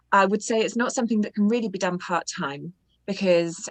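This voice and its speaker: A woman speaks at a fairly quick pace. She has a British accent. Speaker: audiobook narrator. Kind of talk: interview.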